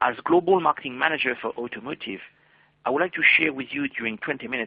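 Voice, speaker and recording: A man with a French accent, very fast and lively in intonation. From France. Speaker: marketing manager presenting a webinar. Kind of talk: webinar presentation. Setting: online webinar. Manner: formal.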